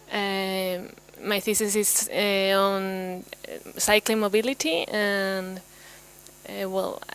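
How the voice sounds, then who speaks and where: Noticeable background noise runs under this recording. A woman speaks very slowly in a monotone, flat intonation. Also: medium pitch for a woman. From Spain, Madrid. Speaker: PhD student. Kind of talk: self-introduction in workshop.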